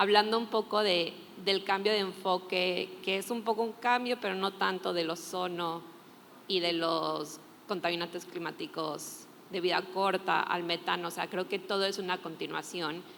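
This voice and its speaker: A woman speaks with a Spanish accent at a moderate pace. Her intonation is fairly even. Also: medium pitch for a woman. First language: Spanish (speaking Portuguese). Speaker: climate NGO expert, panelist. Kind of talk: panel discussion.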